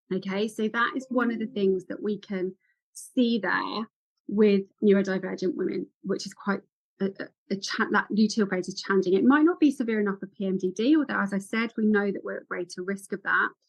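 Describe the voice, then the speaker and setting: The speaker is a woman with a somewhat breathy voice. She talks at a fairly quick clip. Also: medium pitch for a woman, ordinary pitch variation. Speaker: women's health and ADHD specialist. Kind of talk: podcast interview. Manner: fast; animated.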